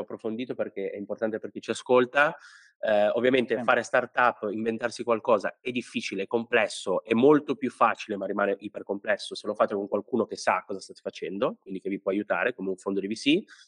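A man talks at a very fast pace, his loudness swinging widely. The sound is dry and close with no echo, over a quiet background. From Italy, Liguria (Sanremo). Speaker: podcast host, headhunter. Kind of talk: casual interview.

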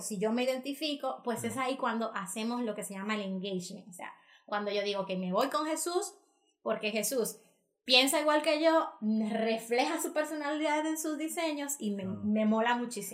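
A woman with a fairly high voice speaks at a moderate pace with lively intonation. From Dominican Republic. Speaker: marketing and digital business consultant. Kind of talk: podcast interview. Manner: animated.

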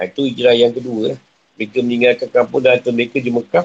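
A man speaks at a very fast pace. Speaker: Islamic religious teacher. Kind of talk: religious lecture (tafsir class). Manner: conversational, informal asides.

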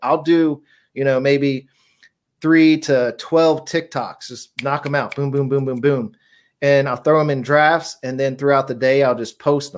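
A man's fairly high-pitched voice, a normal speaking voice, at a moderate pace with fairly even intonation, in a very clean recording with a silent background. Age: 40s. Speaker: affiliate marketer. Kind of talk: casual interview.

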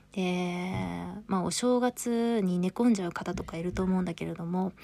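A woman speaks in a dark, mellow tone with ordinary pitch variation. The recording is very clean with a silent background, and the sound is dry and close with no echo. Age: 30s. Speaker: podcast host. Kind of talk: casual monologue. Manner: chatty, frequent fillers.

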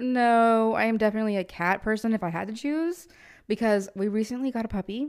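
Speech at a fairly quick pace with ordinary pitch variation comes through on a very clean recording with a silent background. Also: woman, fairly high pitch for a woman. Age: 20s. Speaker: podcast co-host. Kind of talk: casual chat. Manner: animated.

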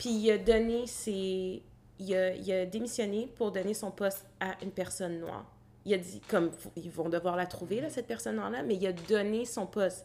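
With lively intonation, a woman in a normal speaking voice talks at a moderate pace and medium pitch. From Quebec, Gatineau. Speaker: graduate student in organizational development. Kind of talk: casual chat.

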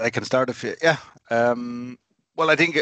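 With an Irish accent, a man talks at a fairly quick pace against a quiet background, the sound dry and close with no echo. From Ireland, Clonmel, Tipperary. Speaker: supporters' club founder. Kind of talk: interview.

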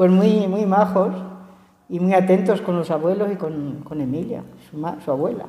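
A medium-pitched woman speaks at a fairly slow pace. Her voice has audible room echo, with noticeable background noise. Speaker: elderly interviewee. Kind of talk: casual interview.

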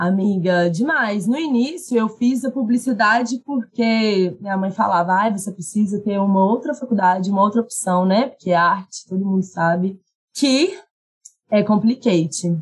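A woman's medium-pitched, somewhat breathy voice at a moderate pace, with ordinary pitch variation. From Minas Gerais, Brazil (Carmópolis). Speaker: actress and content creator. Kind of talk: casual interview chat.

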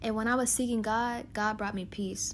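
A woman's voice with audible room echo. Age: 20s. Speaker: podcast host. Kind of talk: casual monologue.

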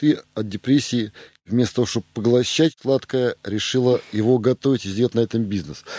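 In a dry, close recording with no echo, a man with a dark, mellow tone and medium pitch speaks at a fairly quick pace with ordinary pitch variation. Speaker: podcast co-host, businessman. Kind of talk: interview.

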